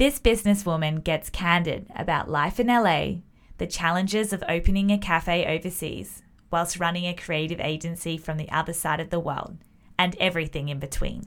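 With an Australian accent, a woman talks at a fairly low pitch with ordinary pitch variation. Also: moderate pace, very clean recording, silent background. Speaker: podcast host. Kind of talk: interview.

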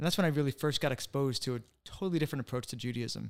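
A man talks with a New England accent at a fairly high pitch. His pace is very fast. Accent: American English, New England. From US Northeast, Connecticut (West Hartford). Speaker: author. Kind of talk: interview.

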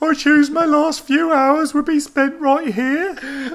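A man puts on a character voice in a Birmingham accent, pitched extremely high. He speaks at a fairly slow pace. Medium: read story.

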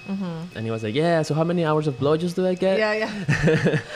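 A man with a Spanish accent, over noticeable background noise. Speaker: artist. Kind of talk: casual interview chat.

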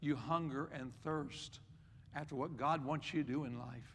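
Audible room echo surrounds a man speaking at a moderate pace in a fairly high voice with fairly even intonation. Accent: Appalachian. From West Virginia. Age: 60s. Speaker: pastor. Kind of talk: sermon.

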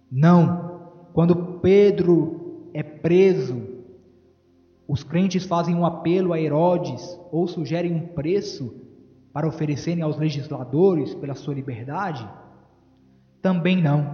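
Very slowly and with long, frequent pauses, a man speaks at a high pitch with fairly even intonation. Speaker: preacher. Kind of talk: sermon. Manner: fervent, emphatic pulpit delivery, appealing to the congregation.

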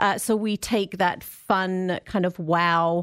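A woman speaks with fairly even intonation. Her voice is fairly low in pitch. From England. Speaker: science centre outreach manager. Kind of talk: casual radio interview. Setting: radio studio.

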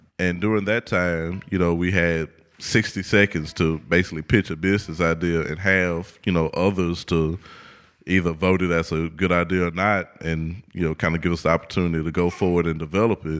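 Very deep and low in pitch, a man with an American accent speaks fairly quickly in a monotone, flat intonation, recorded very cleanly over a silent background. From Houston, Texas. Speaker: architect and business founder. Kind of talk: casual interview. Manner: hesitant, many fillers.

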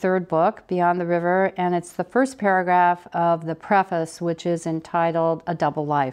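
A woman with a Midwestern US accent, fairly low in pitch, at a moderate pace with hardly any pauses, over a quiet background. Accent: US Midwest. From Ohio, Dayton. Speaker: author. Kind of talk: interview; reading aloud. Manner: animated.

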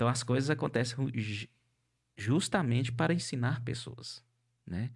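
Vocal fry at a moderate pace with ordinary pitch variation, on a very clean recording with a silent background. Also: man. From northern Minas Gerais, Brazil. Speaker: podcast host, coach. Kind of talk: interview podcast, casual chat. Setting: studio, live-streamed.

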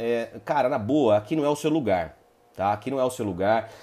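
With an animated tone and lively intonation, a man speaks at a moderate pace and a medium pitch. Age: 30s. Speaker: lawyer and multi-level marketing presenter. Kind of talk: live stream talk to online audience. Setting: live online broadcast. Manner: halting, many repetitions and fillers; casual, animated.

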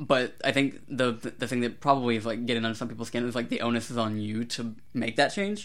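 Speaking very fast with hardly any pauses, a man holds a medium pitch. His intonation stays fairly even. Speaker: podcast co-host. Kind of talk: casual chat. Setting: remote recording over Discord.

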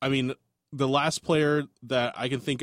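A man with a normal speaking voice and medium pitch talks at a moderate pace, the sound dry and close with no echo on a very clean recording with a silent background. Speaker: sports podcast co-host. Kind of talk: casual sports chat. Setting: studio. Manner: joking, upbeat.

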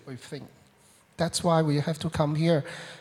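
Here a man speaks in a Hong Kong accent at a fairly high pitch. His pace is moderate. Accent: Hong Kong Cantonese-accented English. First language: Cantonese. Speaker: immigrant church member. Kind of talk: testimony. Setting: stage with audience. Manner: halting.

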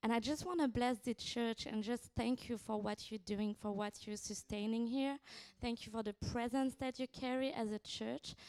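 A woman speaks with a French accent. Her pitch is fairly high, with ordinary variation. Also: moderate pace. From France. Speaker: visiting prophetic minister. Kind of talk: prophetic ministry in church service. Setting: church.

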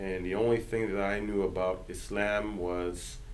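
With audible room echo, a man with an American accent talks at a fairly slow pace in a fairly low pitch, his intonation monotone and flat. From central Virginia, US. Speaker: imam and civil rights advocate. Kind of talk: podcast interview. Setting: office.

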